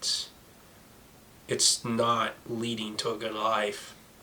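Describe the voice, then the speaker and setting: Over noticeable background noise, a man with a medium pitch speaks in a flat monotone. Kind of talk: casual talk to camera.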